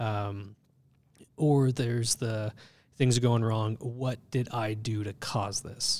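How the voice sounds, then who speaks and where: A man's medium-pitched, flat, monotone delivery at a very slow pace. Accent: Californian. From Southern California. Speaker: church ministry staff. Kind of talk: casual chat.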